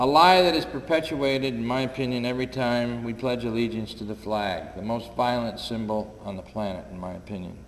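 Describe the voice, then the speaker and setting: Noticeable background noise and audible room echo surround a man with an American accent, medium pitch and ordinary pitch variation. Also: big swings in loudness. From upstate New York. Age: 60s. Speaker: war veteran and peace activist. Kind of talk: public talk. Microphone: too quiet at first, volume raised.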